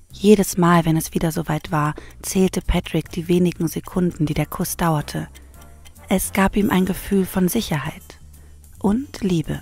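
With music in the background, a woman speaks at a fairly slow pace and a fairly low pitch. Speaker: narrator. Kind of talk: true crime story narration.

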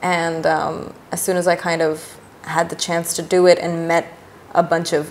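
A woman speaks in a fairly low pitch. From Pakistan, Karachi. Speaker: artist and musician. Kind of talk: casual chat. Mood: relaxed, casual. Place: home room.

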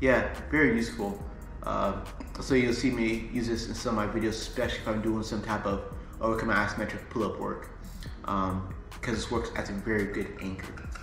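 A man talks at a fairly quick pace, with audible room echo. Clear music plays in the background. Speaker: fitness coach. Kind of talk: tutorial. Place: home room. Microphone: phone near.

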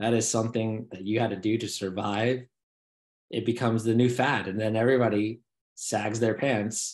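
Over a quiet background, a man speaks in a flat monotone. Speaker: podcast co-host, new father. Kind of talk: casual chat. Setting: video call. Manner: rambling, filler-heavy. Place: home room. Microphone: video call.

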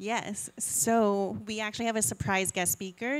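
This woman's voice sits at a medium pitch. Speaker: panel moderator. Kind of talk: panel discussion. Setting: stage with audience. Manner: animated. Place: shop. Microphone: handheld.

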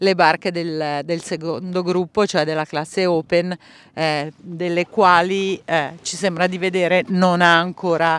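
The speech is calm in tone and fairly slow. The recording is very clean, its background silent. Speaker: sailing commentator. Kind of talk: live sports commentary. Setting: on a boat at sea, outdoors. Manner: calm, unhurried, halting with many fillers; relaxed, descriptive, lightly humorous.

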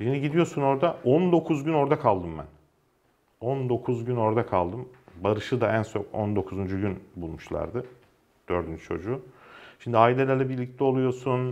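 This man has an unremarkable speaking voice with medium pitch. He talks at a moderate pace with lively intonation. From Ankara, Turkey; Turkey. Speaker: journalist. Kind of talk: casual interview. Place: studio. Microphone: lapel.

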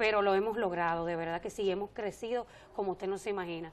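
Very fast speech comes from a woman whose pitch varies in an ordinary way. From Dominican Republic, northwest (Montecristi); Dominican Republic. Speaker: government agency director; guest. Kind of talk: TV interview. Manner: halting, many repetitions and fillers. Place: studio. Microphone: lapel.

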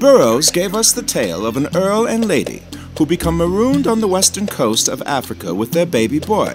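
Over music in the background, a man talks fairly quickly in a high voice with very wide pitch swings. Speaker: voice actor. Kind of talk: documentary narration.

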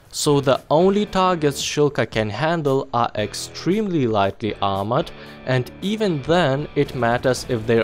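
A man's medium-pitched voice with lively intonation at a moderate pace, music playing in the background. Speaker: gaming video narrator. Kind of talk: game guide voice-over.

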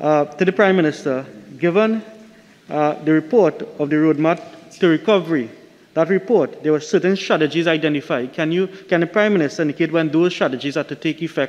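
A man with a plain, everyday voice speaks at a fairly quick pace and a fairly high pitch, with ordinary pitch variation. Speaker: opposition member of parliament. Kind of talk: formal parliamentary questioning. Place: hall. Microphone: podium.

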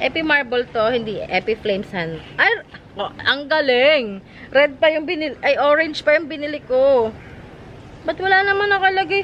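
A woman speaks at a moderate pace with a high pitch and very wide pitch swings over light background noise. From Philippines. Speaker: plant seller vlogger. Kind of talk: casual vlog sales talk. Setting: outdoors in garden. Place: garden.

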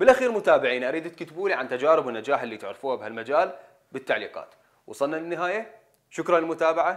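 A man talks very fast in a fairly high pitch with lively intonation against a quiet background. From Iraq. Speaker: video presenter; presenter. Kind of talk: scripted narration. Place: studio.

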